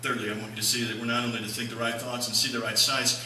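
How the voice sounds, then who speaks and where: A man is speaking. Room echo is audible, along with light background noise. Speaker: pastor. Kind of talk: sermon. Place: church.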